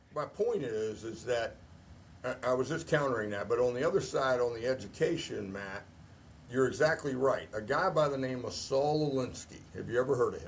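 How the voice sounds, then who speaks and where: A man talks at a moderate pace and medium pitch. His voice is somewhat breathy, with ordinary pitch variation. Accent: American. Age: 60s. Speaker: retired army officer. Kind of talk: casual chat. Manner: animated.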